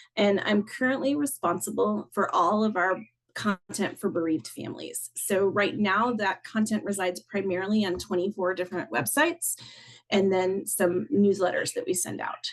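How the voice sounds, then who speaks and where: A woman with an American accent talks at a moderate pace and a medium pitch. Her intonation is lively, with some vocal fry. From US South. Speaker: content designer. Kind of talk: conference talk. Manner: casual, with frequent fillers.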